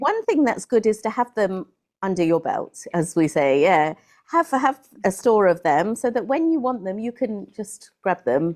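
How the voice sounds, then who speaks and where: Against a quiet background, a woman with a British accent talks at a moderate pace in a medium pitch with very wide pitch swings. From England. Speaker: English tutor. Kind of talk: interview answer. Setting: video call.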